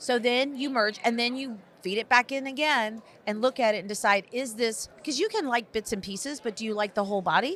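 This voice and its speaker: A woman's fairly high, bright, sharp and animated voice with an American accent, at a fairly quick pace with ordinary pitch variation. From Texas. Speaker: school superintendent. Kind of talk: podcast interview. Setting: conference podcast recording. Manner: fast.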